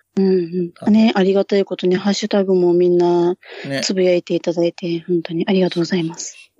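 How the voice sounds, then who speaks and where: Recorded with a dry, close sound and no echo, a woman speaks at a medium pitch in a dark, mellow tone with monotone, flat intonation. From Japan, Hokkaido. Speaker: podcaster guest. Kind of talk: casual chat. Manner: low-key, subdued.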